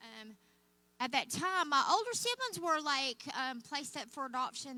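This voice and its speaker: A woman with an American accent talks at a fairly quick pace. Her intonation is lively and her tone bright and sharp. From Oklahoma, mostly southern. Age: old. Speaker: guest speaker. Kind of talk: testimony. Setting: church.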